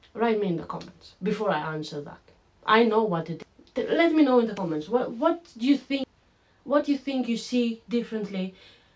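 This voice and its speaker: At a moderate pace, a woman with a fairly high pitch makes very wide pitch swings over noticeable background noise. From Greece. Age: 20s. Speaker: online business vlogger. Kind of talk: casual vlog to camera. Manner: animated.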